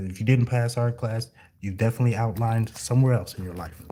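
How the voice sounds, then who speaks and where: A man talks at a fairly quick pace in a dark, mellow tone. His medium pitch follows a fairly even intonation. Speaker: floor coverer. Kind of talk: tutorial.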